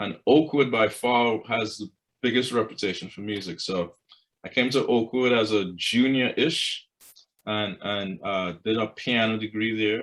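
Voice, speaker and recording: A man with a Trinidadian accent, medium pitch and a fairly slow pace. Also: ordinary pitch variation. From Trinidad and Tobago. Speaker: choral conductor and professor. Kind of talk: interview.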